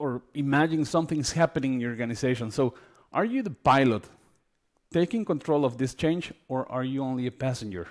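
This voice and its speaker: Speaking at a fairly quick pace, a man with a medium pitch and ordinary pitch variation comes through on a very clean recording with a silent background. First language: not English. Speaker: healthcare consultant. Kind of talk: conference talk. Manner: hesitant, many fillers.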